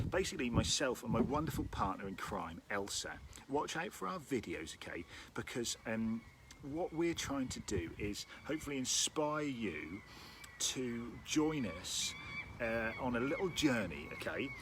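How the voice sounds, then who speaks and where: Using a Norfolk accent, a man at medium pitch speaks at a fairly slow pace with very wide pitch swings. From Norfolk, East Anglia, England. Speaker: orchestral timpanist and rhythm workshop leader. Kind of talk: live-streamed interactive music workshop. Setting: outdoors in a garden, live stream. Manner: upbeat and animated, with frequent fillers.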